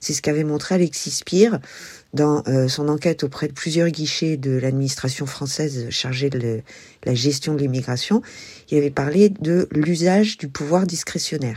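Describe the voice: At a moderate pace, a man with a fairly high pitch speaks in a slightly mellow tone with a slightly husky edge and ordinary pitch variation.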